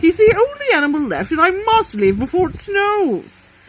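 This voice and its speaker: A woman's put-on character voice at an extremely high pitch, swinging very widely in pitch, at a moderate pace. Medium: read story. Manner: persistent, polite salesman.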